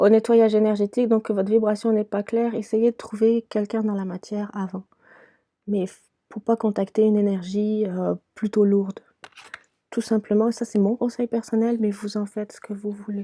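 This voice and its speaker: The voice has a dark, mellow tone and monotone, flat intonation at a moderate pace, with a dry, close sound and no echo. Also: woman. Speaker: tarot and oracle card reader. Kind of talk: spiritual card reading. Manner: hesitant, many fillers.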